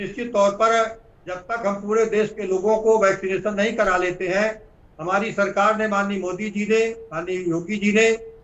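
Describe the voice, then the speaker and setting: A man with a high-pitched voice speaks in a flat monotone. Background noise is noticeable. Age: 60s. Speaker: politician. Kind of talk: interview. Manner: halting.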